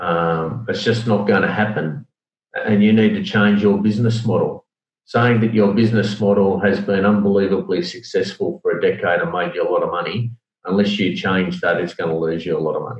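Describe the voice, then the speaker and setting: A man with an Australian accent speaks at a fairly quick pace, his fairly low pitch moving with ordinary variation. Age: 50s. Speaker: logistics executive. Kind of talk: interview.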